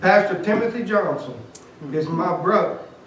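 A man's high voice with an American accent at a fairly slow pace, with audible room echo and light background noise. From US South. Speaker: lay preacher; preacher. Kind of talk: sermon. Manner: animated. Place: church.

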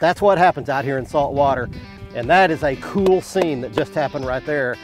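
Over clear music in the background, a man with a fairly high pitch talks at a fairly quick pace with lively intonation and a dry sound with no echo. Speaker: fishing show host. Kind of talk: casual outdoor talk on a boat. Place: boat. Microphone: lapel.

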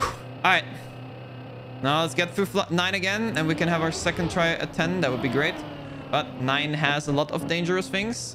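Music plays behind a man who speaks with a German accent at a fairly high pitch and a moderate pace. His loudness stays very even, and he leaves long, frequent pauses. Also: ordinary pitch variation. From Belgium, German-speaking part. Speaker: video game streamer. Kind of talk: live gameplay stream commentary. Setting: live stream talking to chat. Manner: animated.

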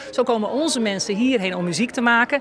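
A woman talks at a fairly quick pace. The sound is dry with no echo, and there is light background noise. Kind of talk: interview answer. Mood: warm, cheerful, laughing. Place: hall.

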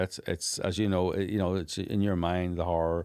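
A man with a Northern Irish accent against a quiet background. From Northern Ireland. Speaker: documentary filmmaker; podcast guest. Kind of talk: interview conversation. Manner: animated. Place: studio. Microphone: studio mic.

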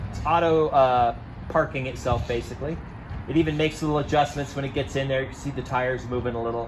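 A man with fairly even intonation at a moderate pace, noticeable background noise behind him. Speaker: car owner demonstrating feature. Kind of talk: tutorial. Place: street.

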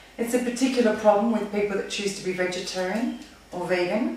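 A woman speaks with an Australian accent. Strong room echo and light background noise surround her voice. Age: 40s. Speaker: personal trainer. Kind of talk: tutorial. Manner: casual. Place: kitchen. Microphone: camera far.

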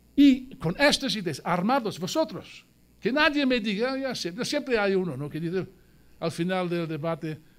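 With an English accent, a man speaks at a high pitch in an animated tone, his pitch swinging very widely at a moderate pace. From South Wales. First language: English (speaking Spanish). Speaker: Marxist editor and speaker; speaker. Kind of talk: political speech. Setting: museum event with live audience. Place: hall. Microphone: podium.

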